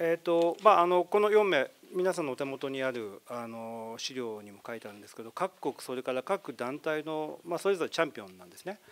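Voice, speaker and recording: In an ordinary speaking voice, a man talks at a fairly quick pace and a fairly high pitch, with hardly any pauses and big swings in loudness. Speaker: press conference host. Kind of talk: press conference announcing. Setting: press conference. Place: meeting room. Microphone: handheld.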